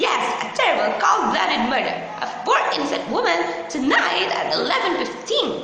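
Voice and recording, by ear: In a put-on character voice, a woman speaks with an extremely high pitch, big pitch swings and vocal fry at a moderate pace, with room echo audible.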